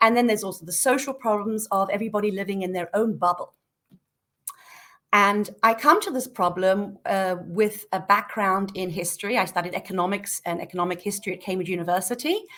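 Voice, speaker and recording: Her voice is bright and sharp, with a British accent and medium pitch. The woman talks at a fairly quick pace with ordinary pitch variation. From Britain. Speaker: peace activist. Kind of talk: podcast interview. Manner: hesitant, many fillers.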